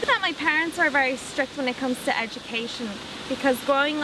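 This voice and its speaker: Over noticeable background noise, a woman with an Irish accent uses a raised, projected voice at a high pitch, with ordinary pitch variation and a moderate pace. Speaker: interviewee. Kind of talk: interview answers.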